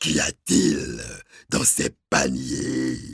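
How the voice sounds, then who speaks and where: Putting on a character voice, a man growls in a raspy, very deep, low register with a menacing tone. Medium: read story. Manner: menacing, demanding.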